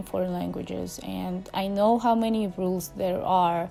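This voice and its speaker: A woman speaks at a moderate pace with a Russian accent. Noticeable background noise can be heard. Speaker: language-learning vlogger. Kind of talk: casual vlog talk to camera.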